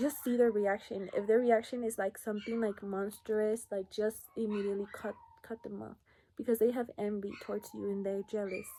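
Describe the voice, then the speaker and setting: At a moderate pace, a woman speaks in a fairly high pitch with a dark, mellow tone and a monotone, flat intonation. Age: 20s. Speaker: lash business owner and vlogger. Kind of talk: casual vlog chat. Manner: casual, filler-heavy.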